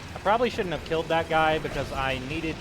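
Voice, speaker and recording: A man talks over music in the background, with audible room echo in the space. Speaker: gaming video creator. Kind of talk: gameplay commentary. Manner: mumbling at times; casual, conversational.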